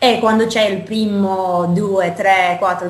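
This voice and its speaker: A woman speaks at a medium pitch with noticeable background noise. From United States. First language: English (speaking Italian). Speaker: startup co-founder. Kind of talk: interview.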